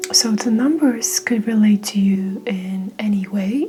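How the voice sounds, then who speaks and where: Over noticeable background noise, a woman with a Mongolian accent speaks at a very slow pace with ordinary pitch variation. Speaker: tarot reader. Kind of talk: tarot reading.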